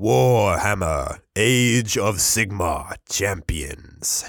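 Using a put-on character voice, a man talks very slowly at a fairly low pitch. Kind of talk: trailer-style announcement. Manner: nerdy, dorky, dramatic announcer-style delivery.

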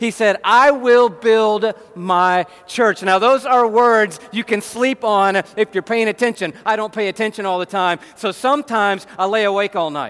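An American accent with ordinary pitch variation. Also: man, high pitch for a man, moderate pace. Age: 50s. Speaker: pastor. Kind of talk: sermon. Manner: animated.

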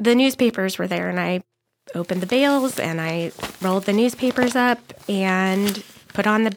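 A woman speaks in a plain, everyday voice at medium pitch, keeping a moderate pace and ordinary pitch variation. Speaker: storyteller. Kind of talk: personal story.

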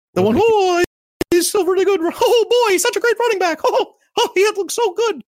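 A squeaky, put-on character voice at an extremely high pitch and moderate pace. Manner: cartoonish.

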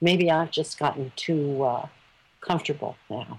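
A woman with an American accent speaks in a very deep, low voice. Her pace is fairly slow. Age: 60s. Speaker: retired Spanish teacher. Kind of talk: interview. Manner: halting.

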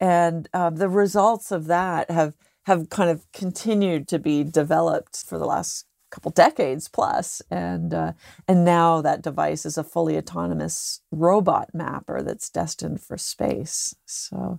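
A woman with a Canadian accent at a fairly slow pace, in a dry, close sound with no echo and a very clean recording with a silent background. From Canada. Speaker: cave diver and underwater explorer. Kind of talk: interview conversation.

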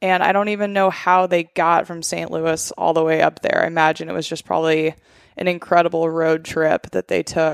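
A woman talks at a fairly low pitch and a moderate pace in a monotone, flat intonation. The recording is very clean with a silent background and a dry, close sound with no echo. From Alaska (Bird Creek). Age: 30s. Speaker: food business owner. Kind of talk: casual chat.

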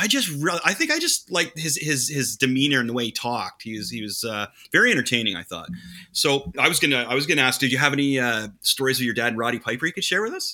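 A man speaks very fast at a medium pitch, his bright, sharp tone riding lively intonation on a very clean recording with a silent background. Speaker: podcast co-host. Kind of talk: casual chat.

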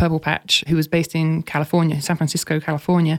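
With an English accent, a woman speaks at a very fast pace in a flat monotone and a fairly low pitch, in a very clean recording with a silent background. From England. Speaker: former pro triathlete and content strategist. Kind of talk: casual interview.

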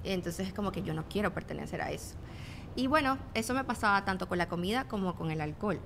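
A woman's medium-pitched voice with a Venezuelan accent, very fast, with very wide pitch swings. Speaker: fitness trainer and influencer. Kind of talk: casual interview chat.

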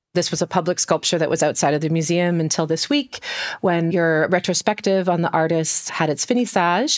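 Using an unremarkable speaking voice, a woman talks fairly quickly at a fairly low pitch, with ordinary pitch variation and very even loudness, on a very clean, dry, close recording with no echo and a silent background. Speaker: podcast host. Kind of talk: interview.

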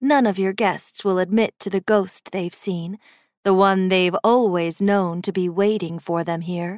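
A woman with a medium pitch speaks at a fairly slow pace with fairly even intonation, in an ordinary speaking voice. The recording is very clean, with a silent background. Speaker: audiobook narrator. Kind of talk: second-person ghost story narration, read aloud like a creeping bedtime tale. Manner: hushed, measured and suspenseful, letting each ominous detail linger; slow, deliberate pacing with dry, teasing menace.

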